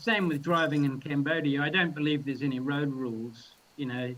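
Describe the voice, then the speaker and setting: A man speaks at a moderate pace with a New Zealand accent. His voice is fairly high-pitched, with ordinary pitch variation. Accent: New Zealand accent, heard as Australian. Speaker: filmmaker. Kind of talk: casual chat.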